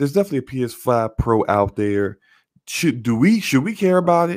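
The recording is very clean, with a silent background. A man talks at a fairly quick pace, his pitch swinging very widely. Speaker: gaming podcast co-host and YouTuber. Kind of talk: casual chat.

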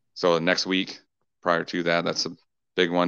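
Very deep and low in pitch, a man with an American accent speaks at a moderate pace. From Washington State, Kitsap County. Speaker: country and rock musician. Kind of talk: casual interview.

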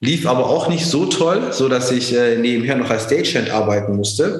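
Audible room echo follows a man's voice. He speaks at a moderate pace. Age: 40s. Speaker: entrepreneur. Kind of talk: interview. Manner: many fillers and restarts.

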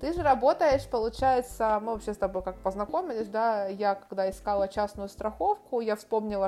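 Speaking at a fairly quick pace, a woman with a medium pitch and a dark, mellow tone shows ordinary pitch variation. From Ukraine, Kharkiv. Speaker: podcast host. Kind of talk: casual interview.

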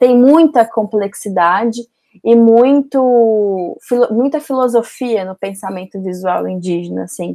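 In a Goiânia accent, a woman speaks fairly slowly at a fairly high pitch with a dark, mellow tone, ordinary pitch variation and big swings in loudness. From Goiás, Brazil (Goiânia). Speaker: filmmaker and doctoral researcher. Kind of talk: podcast interview.

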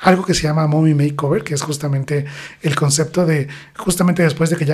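Over noticeable background noise, a man speaks at a fairly quick pace with a fairly high pitch and fairly even intonation. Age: 40s. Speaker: plastic surgeon. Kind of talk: interview. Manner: hesitant fillers.

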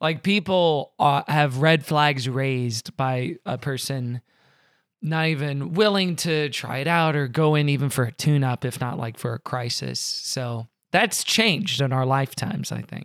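The recording is very clean, with a silent background. A man speaks in a plain, everyday voice with a fairly high pitch and ordinary pitch variation. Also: fairly slow pace. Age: 30s. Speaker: comedian. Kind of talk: casual chat.

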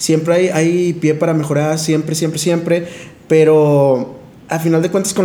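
Amid noticeable background noise and audible room echo, a man with a fairly high pitch speaks at a moderate pace in a monotone, flat intonation. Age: 20s. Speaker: podcast co-host, speaker. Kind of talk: casual chat.

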